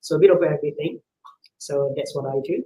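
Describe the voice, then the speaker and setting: A man speaks in a soft-spoken way. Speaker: internal medicine physician. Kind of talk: health talk on live stream. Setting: live online video stream.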